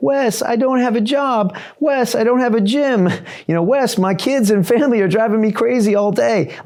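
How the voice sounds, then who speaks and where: A man's whiny, put-on character voice, high-pitched and whiny in tone, at a moderate pace with ordinary pitch variation over light background noise. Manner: whiny, complaining.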